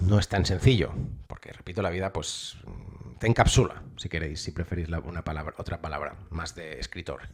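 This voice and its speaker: A somewhat breathy male voice with ordinary pitch variation and big swings in loudness, on a very clean recording with a silent background. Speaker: novelist. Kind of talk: improvised personal monologue. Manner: halting, many false starts.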